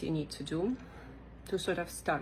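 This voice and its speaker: Woman with a fairly low pitch, vocal fry and a moderate pace. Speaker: small clothing business owner. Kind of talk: casual tutorial monologue. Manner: chatty, with fillers and restarts.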